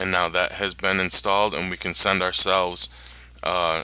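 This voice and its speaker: A man mumbles at a moderate pace in a bright, sharp tone, recorded very cleanly with a silent background. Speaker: online marketing tutorial maker. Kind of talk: screen-recorded tutorial. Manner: mumbling.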